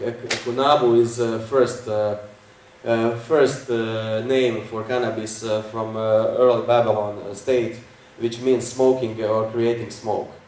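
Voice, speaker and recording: A man's medium-pitched, monotone voice at a fairly slow pace, with audible room echo and noticeable background noise. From Croatia. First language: Croatian. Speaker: conference speaker. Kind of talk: lecture. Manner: halting, many fillers.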